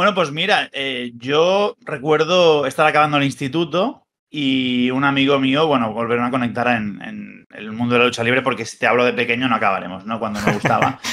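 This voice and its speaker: This man talks at a moderate pace with hardly any pauses, his medium-pitched voice bright and sharp. His pitch varies in an ordinary way. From Spain. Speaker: wrestling news site editor and former TV commentator; wrestling news site editor, former TV commentator. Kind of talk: casual chat. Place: home room. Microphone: webcam.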